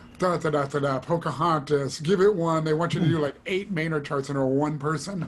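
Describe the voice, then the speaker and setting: Over noticeable background noise, a man with a fairly high pitch talks at a fairly quick pace with fairly even intonation and hardly any pauses. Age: 60s. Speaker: studio trumpet player. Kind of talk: casual interview chat.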